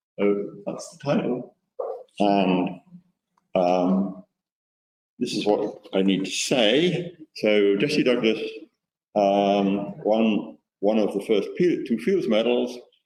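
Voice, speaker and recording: A man speaks very slowly, with long, frequent pauses. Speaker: mathematics historian giving a colloquium talk. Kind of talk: lecture.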